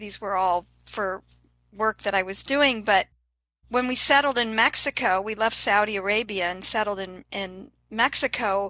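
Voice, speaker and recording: A woman with a medium pitch and a bright, sharp tone speaks at a moderate pace, the sound dry and close with no echo over a quiet background. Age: 60s. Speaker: fitness influencer and transplant survivor. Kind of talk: interview. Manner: enthusiastic.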